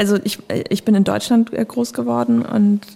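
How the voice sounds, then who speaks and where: A woman's somewhat breathy voice, fairly high in pitch with a dark, mellow tone, moves with ordinary pitch variation. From northern Germany (Bremen/Lower Saxony). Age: 20s. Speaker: young politician. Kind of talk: casual chat. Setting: studio.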